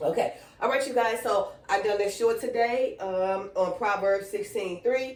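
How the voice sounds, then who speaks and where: A woman with a fairly high pitch speaks fairly slowly in an animated tone over noticeable background noise. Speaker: online Bible teacher. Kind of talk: casual video devotional.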